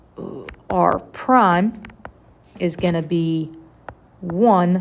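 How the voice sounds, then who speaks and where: A woman speaks at a fairly low pitch while noticeable background noise plays behind her. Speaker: high school math teacher. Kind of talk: lecture. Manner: casual.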